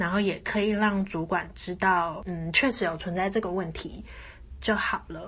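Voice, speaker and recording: Using vocal fry, a woman talks at a medium pitch and a fairly slow pace with ordinary pitch variation. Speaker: podcast host. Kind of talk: solo podcast monologue.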